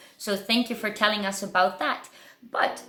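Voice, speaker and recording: A woman speaks in a playful, upbeat tone with ordinary pitch variation. Music plays in the background. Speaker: burlesque show host. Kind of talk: casual video interview host.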